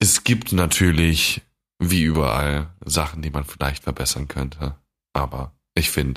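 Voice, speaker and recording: A man's very deep, low voice with vocal fry, a fairly slow pace, long, frequent pauses and ordinary pitch variation. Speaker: medical student podcast co-host. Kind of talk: casual chat.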